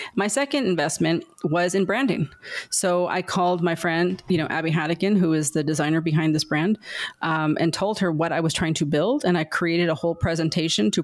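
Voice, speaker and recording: The recording is very clean, with a silent background. A woman with an American accent has an unremarkable speaking voice, fairly low in pitch with ordinary pitch variation. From Southern California, San Diego. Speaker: entrepreneur. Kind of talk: interview.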